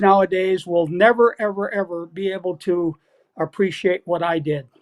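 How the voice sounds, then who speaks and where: This man has a high pitch and fairly even intonation at a moderate pace. The sound is dry and close, with no echo. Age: 70s. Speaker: retired football coach. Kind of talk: podcast interview.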